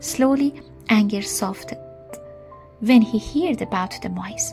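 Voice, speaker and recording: Music plays in the background as a woman speaks. She has a non-native accent and a fairly slow pace. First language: not English. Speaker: storyteller. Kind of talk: read story.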